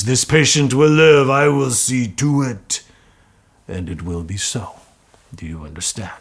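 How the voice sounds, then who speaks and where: In a put-on character voice, a man speaks at a moderate pace and medium pitch, with very wide pitch swings, big swings in loudness and long, frequent pauses. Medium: read story. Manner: solemn, measured.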